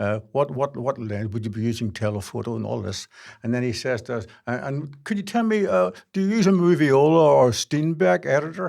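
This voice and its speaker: The recording is very clean and the background silent. A man's fairly quick speech swings very widely in pitch. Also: medium pitch for a man. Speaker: filmmaker. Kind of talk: interview answer.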